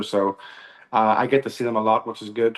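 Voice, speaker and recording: A man with an Irish accent talks at a fairly quick pace. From Northern Ireland, Belfast area. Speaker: country singer. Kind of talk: interview.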